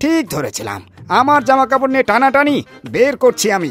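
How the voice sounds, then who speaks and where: A man speaks in a cartoonish character voice at an extremely high pitch, with a moderate pace. Faint music plays in the background. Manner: grumbling, complaining.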